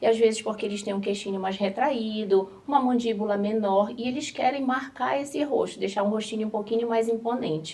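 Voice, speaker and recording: With a Pará accent, a woman speaks at a fairly quick pace in a fairly high pitch, with ordinary pitch variation, hardly any pauses and noticeable background noise. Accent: northern Brazilian (Pará) accent, noticeable. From northern Brazil, Belém do Pará. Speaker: dermatologist. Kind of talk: talk show interview.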